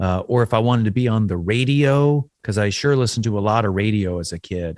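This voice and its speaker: A man with an American accent speaks in a fairly low pitch with lively intonation. The sound is dry and close with no echo, in a very clean recording with a silent background. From US South. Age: 40s. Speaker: folk musician. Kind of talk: interview.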